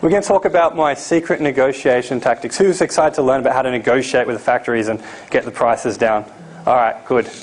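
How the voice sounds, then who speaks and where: A man talks very fast at a medium pitch, his intonation lively. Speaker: seminar presenter on importing. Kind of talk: live seminar presentation. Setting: seminar room with live audience.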